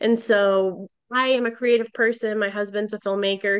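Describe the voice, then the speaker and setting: With an American accent and a plain, everyday voice, a woman speaks at a medium pitch and a fairly slow pace, her intonation fairly even against a quiet background. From Boston. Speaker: gaming company executive. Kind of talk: interview.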